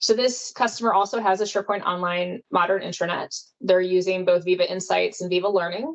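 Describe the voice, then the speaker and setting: A woman with a medium-pitched voice speaks at a fairly quick pace with hardly any pauses. Her pitch moves in an ordinary way. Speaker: product specialist presenter. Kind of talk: webinar presentation. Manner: fast.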